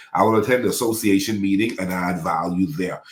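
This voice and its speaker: The pace is very fast. A man speaks at a fairly low pitch. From Bahamas. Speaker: pastor, life coach and city councilman. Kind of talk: podcast interview.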